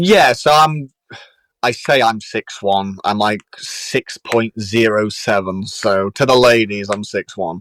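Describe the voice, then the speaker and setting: This man speaks at a medium pitch and a very slow pace with ordinary pitch variation, in a dry, close sound with no echo on a very clean recording with a silent background. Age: 20s. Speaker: professional boxer. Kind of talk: casual interview chat. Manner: animated.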